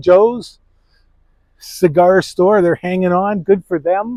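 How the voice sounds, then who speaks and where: Recorded with a dry, close sound and no echo, a man with a Canadian accent speaks at a high pitch with fairly even intonation. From Canada, Toronto. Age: 60s. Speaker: walking tour vlogger. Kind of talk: casual walking vlog narration.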